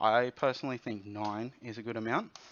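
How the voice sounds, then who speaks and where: A man speaks with an Australian accent. His intonation stays monotone and flat. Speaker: software developer. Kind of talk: tutorial.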